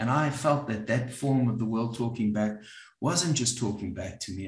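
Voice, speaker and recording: Fairly quick, somewhat breathy speech from a man with a South African accent. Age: 60s. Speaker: psychologist and group facilitator. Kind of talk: talk to an audience. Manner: halting, with many fillers.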